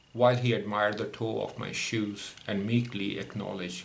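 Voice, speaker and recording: At a fairly slow pace, a man with a fairly low pitch and ordinary pitch variation speaks amid audible room echo. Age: 60s. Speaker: podcaster recounting personal grievances. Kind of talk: memoir narration.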